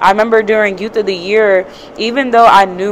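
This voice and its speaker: Over light background noise, a woman talks at a fairly quick pace. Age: young. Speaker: youth advocate. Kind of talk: casual chat. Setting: live at a conference. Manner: animated. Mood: earnest, reflective. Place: hall. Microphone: handheld.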